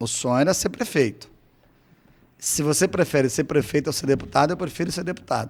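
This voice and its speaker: A man's voice with vocal fry, ordinary pitch variation and long, frequent pauses. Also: fairly high pitch for a man, fairly quick pace. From Brazil, Cáceres, Mato Grosso. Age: 50s. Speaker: city councillor and engineer. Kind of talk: interview.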